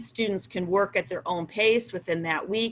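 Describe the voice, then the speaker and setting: Woman with an unremarkable speaking voice at medium pitch, moderate pace and lively intonation. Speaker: school principal. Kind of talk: online Q&A presentation for parents.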